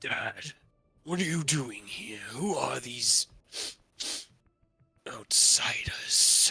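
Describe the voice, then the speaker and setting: A man in a put-on character voice, raspy and fairly high-pitched. He talks very slowly, with long, frequent pauses. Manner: demanding, suspicious.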